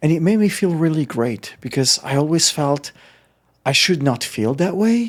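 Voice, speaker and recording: A man with lively intonation, at a moderate pace. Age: 50s. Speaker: illusionist. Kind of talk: interview. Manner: halting.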